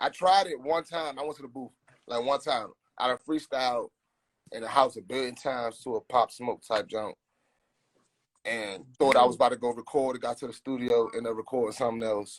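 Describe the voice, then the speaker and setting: Recorded with a dry, close sound and no echo, a man with a DC accent talks fairly quickly at a medium pitch. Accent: DC accent, noticed elsewhere. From Southeast Washington DC. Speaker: rapper. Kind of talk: casual chat.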